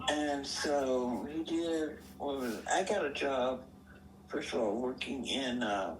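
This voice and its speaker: Over noticeable background noise, a woman with a very deep, low pitch speaks very slowly, her intonation lively and her loudness very even. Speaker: retired army veteran and veterans hospital worker. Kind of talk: personal life story interview answer. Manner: casual, conversational.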